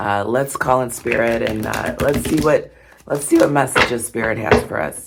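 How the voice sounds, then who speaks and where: There is noticeable background noise while someone talks at a moderate pace. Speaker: tarot reader. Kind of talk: tarot reading. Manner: hesitant, many fillers.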